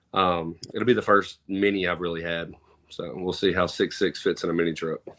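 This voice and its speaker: Here is a man with a Southern US accent and a very deep, low pitch. He speaks at a moderate pace. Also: fairly even intonation. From Mississippi. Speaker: truck show promoter. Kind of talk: casual chat. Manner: casual, hesitant with fillers.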